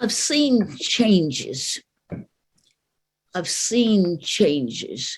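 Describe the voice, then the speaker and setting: A woman with an American accent at a very slow pace, with long, frequent pauses. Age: 80s+. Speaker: civil rights activist. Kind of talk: speech to live audience.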